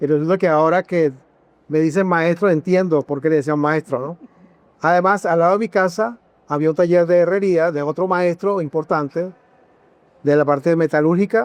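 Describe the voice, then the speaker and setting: Dry and close with no echo, a man's voice sits high in pitch and moves at a moderate pace with fairly even intonation. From Venezuela, Táchira (San Cristóbal). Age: 70s. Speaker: sculptor. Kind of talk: interview. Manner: hesitant, repeats words.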